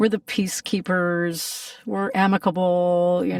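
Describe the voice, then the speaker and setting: A woman talks at a fairly slow pace in a medium pitch, an ordinary speaking voice. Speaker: voice actor; singer. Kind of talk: interview answer.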